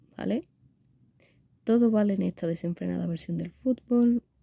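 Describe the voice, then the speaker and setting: At a moderate pace, a woman speaks with a dry sound and no echo against a quiet background. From Spain. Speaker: gaming YouTuber. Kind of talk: unboxing video. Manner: animated. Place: home room. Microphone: phone near.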